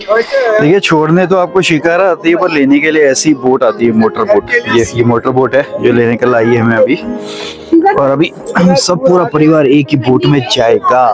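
Clear music plays in the background as a man speaks at a moderate pace. The sound is dry, with no echo. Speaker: travel vlogger. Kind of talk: casual vlog chat. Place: boat. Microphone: phone near.

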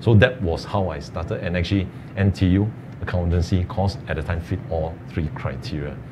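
Noticeable background noise surrounds a man speaking with a very deep, low pitch. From Singapore. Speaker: tax professional, alumnus; panelist. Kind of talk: webinar panel talk. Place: studio. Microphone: lapel.

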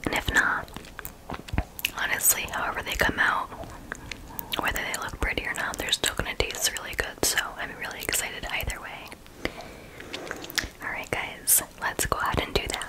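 A woman whispers in a gentle tone, leaving long, frequent pauses. Noticeable background noise runs underneath. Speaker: ASMR content creator. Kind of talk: ASMR whispered recipe tutorial. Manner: whispered, slow, gentle.

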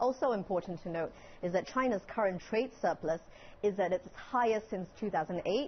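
Here is a woman in an ordinary speaking voice, moving at a fairly quick pace with ordinary pitch variation. Light background noise can be heard. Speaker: TV news correspondent. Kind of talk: live news interview answer. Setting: studio.

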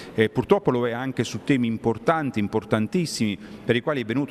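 A man talks at a very fast pace with light background noise. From Abruzzo, Italy. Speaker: mayor. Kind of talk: news interview. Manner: indignant. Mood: critical, disappointed. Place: hall. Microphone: handheld.

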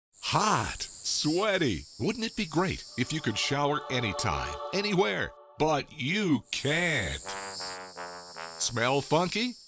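Amid noticeable background noise, a man with a fairly high pitch talks very slowly in an upbeat tone with very wide pitch swings. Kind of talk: TV commercial read.

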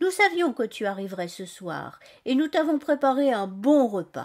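A woman talks at a fairly slow pace in a high, gentle, warm voice. Her pitch swings very widely. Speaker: storyteller and author. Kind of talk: bedtime story telling, scripted narration read aloud to children. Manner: gentle, soft, warm storyteller voice, expressive and animated with character dialogue.

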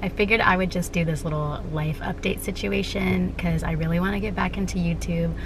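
Through noticeable background noise, a woman talks at a very fast pace. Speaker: vlogger. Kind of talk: casual vlog chat. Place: car. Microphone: phone near.

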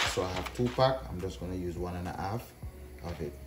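Faint music plays in the background. Over it, a man with a very deep, low pitch speaks at a moderate pace. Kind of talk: tutorial. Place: kitchen.

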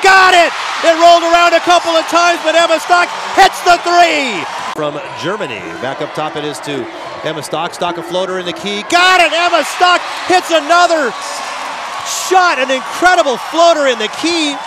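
The speaker sounds excited, leaving long, frequent pauses. The sound is dry with no echo, though background noise is noticeable. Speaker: sports commentator. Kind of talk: live sports commentary. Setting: broadcast of a college basketball game. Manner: fast, excited play-by-play, rising on big three-pointers; animated, breathless in tense overtime finish. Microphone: headset.

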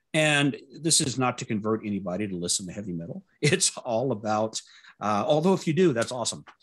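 A man with an American accent and medium pitch talks at a fairly quick pace with very wide pitch swings. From US South, Louisiana. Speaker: test automation speaker; speaker. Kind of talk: conference talk. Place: home room.

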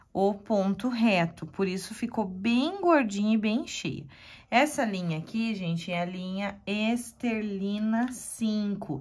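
At a very slow pace, a woman speaks in a somewhat breathy voice. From Curitiba, Paraná, southern Brazil. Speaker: embroidery teacher. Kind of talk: tutorial. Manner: warm, chatty.

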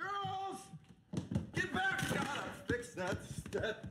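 In a put-on character voice, a man speaks slowly at an extremely high pitch, his tone bright and sharp with big pitch swings.

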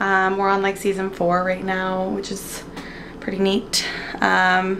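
Light background noise sits behind a woman. She speaks at a moderate pace. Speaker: vlogger. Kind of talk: casual vlog chat. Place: kitchen. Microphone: phone near.

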